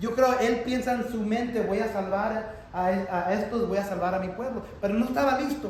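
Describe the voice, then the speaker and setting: With audible room echo and noticeable background noise, a high-pitched man speaks at a moderate pace with fairly even intonation and hardly any pauses. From Texas. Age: 40s. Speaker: pastor. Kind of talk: sermon. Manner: halting.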